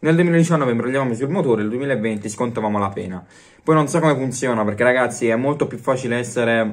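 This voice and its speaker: Ordinary pitch variation in a man's fairly quick delivery. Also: quiet background. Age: young. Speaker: YouTuber sports commentator. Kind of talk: casual vlog commentary. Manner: animated. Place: home room. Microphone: phone near.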